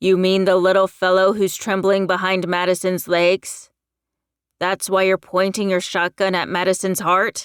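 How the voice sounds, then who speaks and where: Put-on character voice from a woman, growling and monotone at a medium pitch, at a moderate pace with very even loudness, on a very clean, dry, close recording with no echo and a silent background. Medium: read story. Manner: firm, growling.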